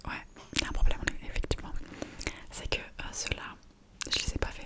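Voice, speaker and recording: Whispered speech from a woman, moderate in pace, with noticeable noise behind it. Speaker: ASMR content creator. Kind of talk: casual talk to camera, ASMR whisper. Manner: whispered, soft, intimate.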